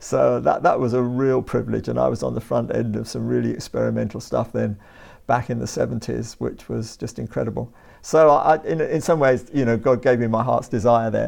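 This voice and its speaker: Speaking with a southern English accent, a man keeps a fairly quick pace. The background is quiet. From southern England, Brighton and Hove. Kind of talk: interview.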